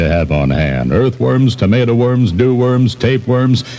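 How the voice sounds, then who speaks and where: A man speaks with lively intonation over noticeable background noise. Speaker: radio morning host. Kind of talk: radio DJ patter. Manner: irreverent, playful.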